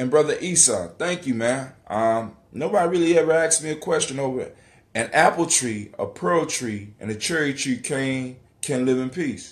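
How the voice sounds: Speaking at medium pitch, a man uses lively intonation. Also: moderate pace.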